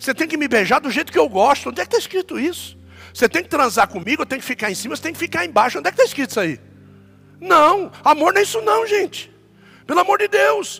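A raised, projected voice swings very widely in pitch. The sound is dry and close with no echo, with noticeable background noise. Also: man. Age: 50s. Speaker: pastor. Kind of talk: sermon.

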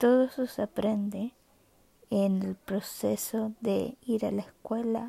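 A somewhat breathy woman speaks at a very slow pace with fairly even intonation, the sound dry and close with no echo. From Chile. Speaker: podcaster, guide dog user. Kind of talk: personal monologue. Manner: halting.

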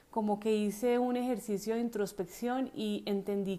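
A woman speaks at a medium pitch with a dark, mellow tone. Her pace is moderate and her intonation fairly even. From Colombia. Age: 40s. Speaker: podcast host. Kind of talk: personal storytelling.

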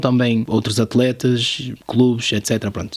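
At a fairly slow pace, a man speaks in a normal speaking voice of medium pitch. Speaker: podcast host, YouTuber. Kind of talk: casual chat.

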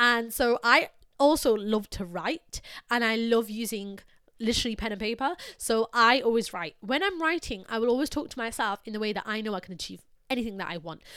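With an ordinary speaking voice, a fairly high-pitched woman talks at a fairly quick pace, her intonation lively and her loudness swinging widely. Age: 20s. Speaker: podcaster. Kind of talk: solo motivational talk. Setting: studio mic.

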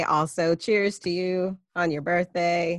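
A woman with an ordinary speaking voice and a fairly low pitch talks at a fairly slow pace, the sound dry and close with no echo. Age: 30s. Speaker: podcast host. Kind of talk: casual chat. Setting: video call.

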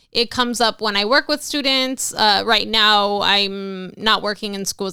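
A woman with an American accent uses a normal speaking voice with ordinary pitch variation. The recording is very clean, with a silent background. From Los Angeles, California. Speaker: therapist. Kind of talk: interview.

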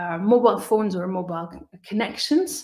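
Lively intonation runs through a somewhat breathy voice that keeps a moderate pace. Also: woman. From Belgium. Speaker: business analyst. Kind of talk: interview.

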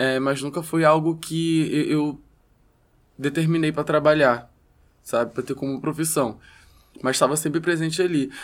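A man with a fairly high pitch speaks with fairly even intonation and long, frequent pauses. The recording is very clean, with a silent background. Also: moderate pace. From Rio de Janeiro, West Zone favela. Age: 20s. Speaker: rapper. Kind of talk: casual interview chat.

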